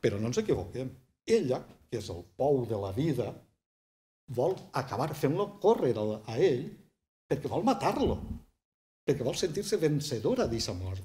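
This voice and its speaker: A man with a southern Valencian accent speaks at a moderate pace, with long, frequent pauses and a fairly high pitch. His dark, mellow tone is somewhat breathy and swings very widely in pitch. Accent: southern Valencian Catalan. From Vall d'Albaida, Valencia (L'Olleria). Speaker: writer and poet; poet. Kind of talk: casual interview. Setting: small bookshop set up as studio. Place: studio.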